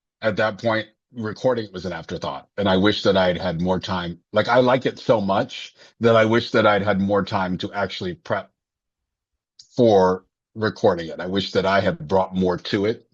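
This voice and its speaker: Here a man speaks with a fairly low pitch. His pace is moderate and his pitch variation ordinary. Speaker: filmmaker and singer. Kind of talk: casual conversation. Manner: halting, many self-corrections.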